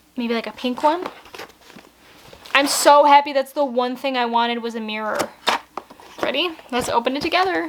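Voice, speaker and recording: Against noticeable background noise, a woman with a high pitch speaks with long, frequent pauses. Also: ordinary pitch variation, moderate pace. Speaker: beauty vlogger. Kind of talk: casual unboxing vlog. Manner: animated.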